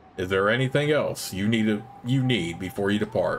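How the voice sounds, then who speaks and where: Using a put-on character voice at medium pitch, a man talks at a fairly quick pace over clear background noise. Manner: theatrical.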